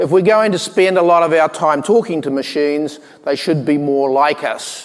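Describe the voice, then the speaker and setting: Fairly high-pitched male voice with a slight New Zealand accent and ordinary pitch variation, amid noticeable background noise and audible room echo. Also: moderate pace. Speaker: tech company co-founder. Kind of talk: conference keynote talk. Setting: stage with audience. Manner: hesitant, many fillers.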